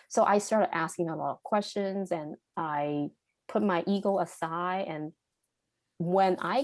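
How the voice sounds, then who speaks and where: A woman speaks at a fairly slow pace with a Cantonese accent and a fairly low pitch. The recording is very clean, with a silent background. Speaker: podcast guest. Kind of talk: interview conversation. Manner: halting, with self-corrections.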